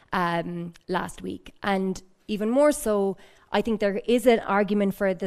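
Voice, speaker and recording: A woman speaks in an Irish accent at a medium pitch and fairly slow pace. The recording is very clean with a silent background. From Ireland. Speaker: research fellow asking questions from audience. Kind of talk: audience question at panel discussion. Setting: public event in library.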